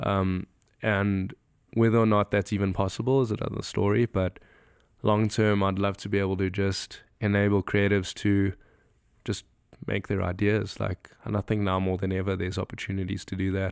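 On a very clean recording with a silent background, a man with a South African accent talks at a moderate pace in a fairly low, monotone, flat voice. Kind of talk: casual podcast interview. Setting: cabin retreat.

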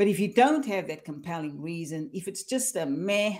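With an unremarkable speaking voice, a woman talks at a medium pitch and a fairly quick pace with lively intonation, on a very clean recording with a silent background. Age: 50s. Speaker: career coach. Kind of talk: interview.

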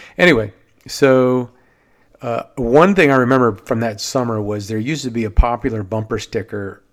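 A man with an American accent speaks in an unremarkable speaking voice at medium pitch and a moderate pace, with ordinary pitch variation, on a very clean recording with a silent background. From Maryland (Silver Spring, near Washington DC). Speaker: podcast host, watersports business owner. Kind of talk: solo podcast monologue.

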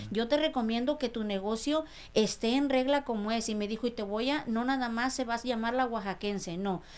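With an ordinary speaking voice, a woman talks at a fairly quick pace with hardly any pauses, fairly high pitch and ordinary pitch variation on a very clean recording with a silent background. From Mexico, Sierra Mixe of Oaxaca. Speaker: restaurant owner. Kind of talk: interview testimony.

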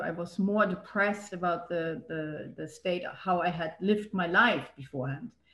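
This woman's voice is fairly low in pitch and somewhat breathy. Her pitch varies in an ordinary way. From Germany. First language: German. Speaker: yoga teacher and local political candidate. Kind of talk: casual interview. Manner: halting, many repetitions.

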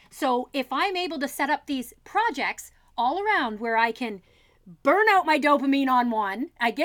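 Lively intonation marks this woman's high-pitched voice at a moderate pace. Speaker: puppet maker and fiber artist. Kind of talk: casual interview chat.

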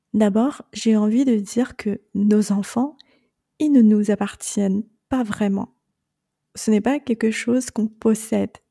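A somewhat breathy woman with a Chinese accent, fairly high in pitch and dark, mellow in tone, at a very slow pace with long, frequent pauses, fairly even intonation, and a dry, close sound with no echo. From China. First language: Chinese (speaking French). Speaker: podcast host and separation coach. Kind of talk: monologue podcast advice.

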